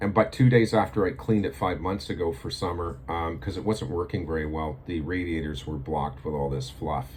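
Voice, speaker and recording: This man's voice is very deep and low, with ordinary pitch variation. He talks at a fairly quick pace with hardly any pauses. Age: 60s. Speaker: video blogger. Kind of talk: casual monologue to camera. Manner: halting, many fillers.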